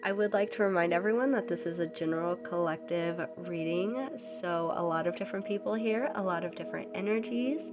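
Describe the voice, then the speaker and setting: A woman talks with hardly any pauses. Music can be heard in the background. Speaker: tarot reader. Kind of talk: tarot reading. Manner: hesitant, many ums.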